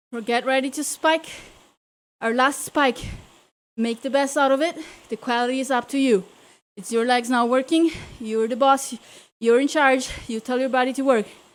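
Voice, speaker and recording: A woman with a high pitch and a non-native accent speaks at a moderate pace in an energetic tone, with long, frequent pauses. The recording is very clean, with a silent background. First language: not English. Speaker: cycling coach and virtual racer. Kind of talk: live indoor cycling class coaching. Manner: energetic motivational cueing.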